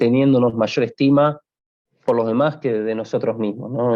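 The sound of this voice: The tone is dark and mellow. The pace is moderate. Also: man.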